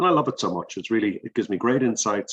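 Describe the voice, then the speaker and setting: A man speaks with an Irish accent. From Ireland. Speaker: business director and executive coach. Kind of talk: interview. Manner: halting, many fillers.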